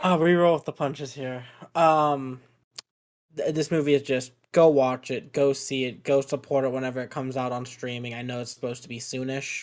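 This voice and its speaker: A man with a normal speaking voice talks at a moderate pace and medium pitch, his intonation fairly even but with big swings in loudness, in a very clean recording with a silent background. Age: 20s. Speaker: podcast host. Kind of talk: casual chat.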